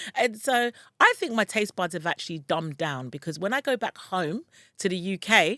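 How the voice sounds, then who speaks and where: A woman with a London accent speaks at medium pitch and a moderate pace, her bright, sharp tone moving through very wide pitch swings. The sound is dry and close with no echo, and the recording is very clean with a silent background. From London, UK (Ghanaian parents). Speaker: relocation and online business coach. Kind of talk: vlog-style advice talk. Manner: loud; animated.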